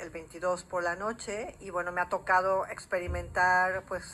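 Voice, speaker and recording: A woman with a bright, sharp tone at medium pitch speaks fairly slowly on a very clean recording with a silent background. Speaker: journalist. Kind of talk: TV interview.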